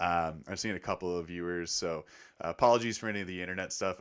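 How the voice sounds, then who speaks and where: A man speaks very fast with fairly even intonation in a very deep, low pitch and a bright, sharp tone. The recording is very clean with a silent background. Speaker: sports podcast host. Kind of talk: casual chat. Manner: loud.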